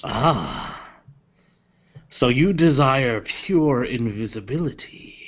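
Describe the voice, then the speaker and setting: A man with a medium-pitched voice performs a put-on character voice with lively intonation. He speaks very slowly, with long, frequent pauses. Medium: actual play. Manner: tempting, knowing.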